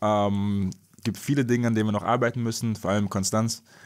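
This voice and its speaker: A man talks with a plain, everyday voice, fairly low in pitch and fairly even in intonation, on a very clean recording with a silent background. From Wiesbaden, Germany. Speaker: professional basketball player. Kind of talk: interview.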